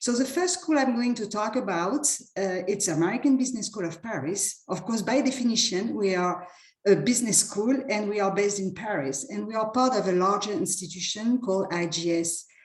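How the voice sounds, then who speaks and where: A woman of medium pitch speaks at a fairly quick pace with lively intonation over noticeable background noise. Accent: French. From France. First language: French. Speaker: university representative. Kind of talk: presentation. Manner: halting, stuttering repetitions.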